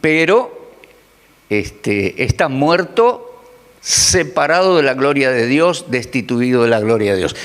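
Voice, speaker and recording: A man talks very slowly at a fairly high pitch, his loudness very even but his pitch swinging very widely. Noticeable background noise and audible room echo are present. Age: 60s. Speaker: preacher. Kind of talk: sermon.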